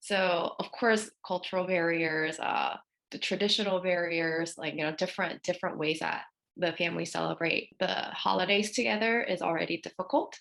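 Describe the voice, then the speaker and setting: A woman with an American accent talks at a moderate pace, her pitch fairly low with ordinary variation. Vocal fry runs through her voice. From Korea, raised in US. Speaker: therapist. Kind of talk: podcast panel discussion.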